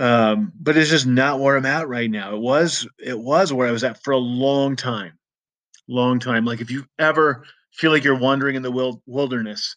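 A man talks in an ordinary speaking voice at a medium pitch and a moderate pace. His pitch varies in an ordinary way over a quiet background. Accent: American. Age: 40s. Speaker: podcast host. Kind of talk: personal monologue. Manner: casual, frequent fillers.

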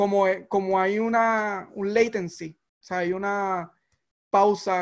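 A man's high-pitched voice with fairly even intonation, set against a quiet background. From Puerto Rico, Barranquitas (rural). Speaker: tech mentor and investor. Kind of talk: interview conversation. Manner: halting, many repetitions.

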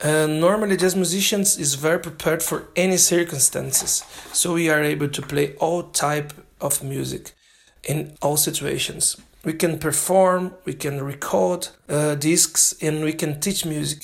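At a moderate pace, a man with a fairly high pitch speaks with fairly even intonation. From Brazil. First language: Portuguese. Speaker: jazz drummer and language student. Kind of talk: prepared self-recorded monologue. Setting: self-made recording sent in. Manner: halting.

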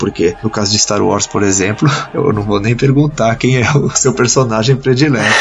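Ordinary pitch variation with music in the background. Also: man. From Brazil, São Paulo state (Santos / São Paulo). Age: 20s. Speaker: author and civil engineer. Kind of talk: interview.

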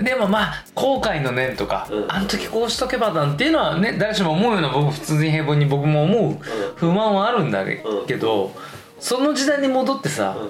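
Amid noticeable background noise and audible room echo, a man speaks at a moderate pace in a high voice, his pitch swinging very widely while his loudness stays very even. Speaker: podcast host discussing films. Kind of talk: casual chat.

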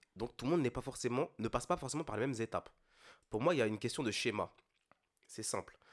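A man's very fast speech broken by long, frequent pauses, with ordinary pitch variation and a dry, close sound with no echo. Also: medium pitch for a man. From Ile-de-France, Antillean family. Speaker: podcast co-host. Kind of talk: casual chat.

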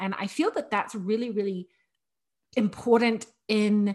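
A woman's fairly high voice at a moderate pace, with ordinary pitch variation and a quiet background. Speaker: podcast host on decluttering and minimalism. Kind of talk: casual solo monologue. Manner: even, level delivery; chatty with many fillers.

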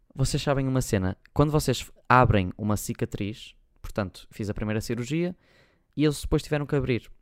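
A man speaks at a moderate pace with a medium pitch and ordinary pitch variation. The recording is very clean with a silent background and a dry, close sound with no echo. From Portugal, Porto. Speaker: YouTuber and podcast host. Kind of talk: casual solo chat.

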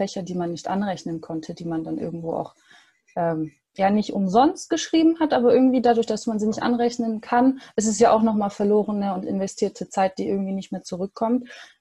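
A woman's somewhat breathy voice, medium in pitch and dark, mellow in tone, at a moderate pace with lively intonation. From Stuttgart, Germany. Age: 20s. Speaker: university student. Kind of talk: interview. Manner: hesitant with many fillers.

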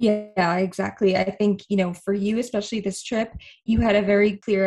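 A somewhat breathy woman's voice with an American accent, medium in pitch, with fairly even intonation. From Boston, US Northeast. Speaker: travel blogger, podcast co-host. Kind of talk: casual chat.

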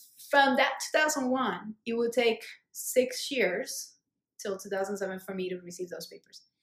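A woman with a Colombian accent speaks at a fairly slow pace, her intonation lively and her loudness swinging widely. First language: Spanish. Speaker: immigrant sharing her life story. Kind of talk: casual interview conversation. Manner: hesitant, many fillers.

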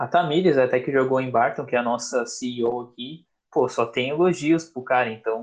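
A man speaks with a Brazilian accent at a medium pitch. His pace is moderate, and his pitch varies in an ordinary way. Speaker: podcast host, former student athlete. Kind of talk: casual interview chat. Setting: live stream with chat questions.

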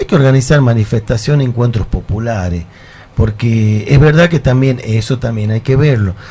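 A man speaks at a moderate pace in a medium pitch, his dark, mellow tone somewhat breathy, with ordinary pitch variation. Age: 50s. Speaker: folk musician. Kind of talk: casual chat. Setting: studio.

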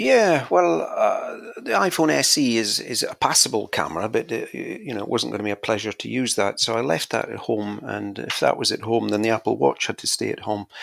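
Over noticeable background noise, a man with a Scottish accent talks at a fairly quick pace with hardly any pauses. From Scotland. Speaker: podcast guest, tech enthusiast. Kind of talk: casual chat.

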